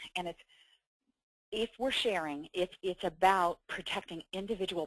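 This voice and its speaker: A normal speaking voice at a moderate pace, with a dry, close sound with no echo and a quiet background. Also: woman. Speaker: webinar presenter. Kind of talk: webinar presentation. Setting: webinar.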